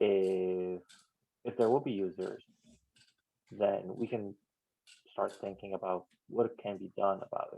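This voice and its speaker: A man with a non-native accent, fairly low pitch, a dark, mellow tone and fairly even intonation, at a fairly slow pace with big swings in loudness and long, frequent pauses. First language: not English. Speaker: software maintainer. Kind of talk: work meeting discussion.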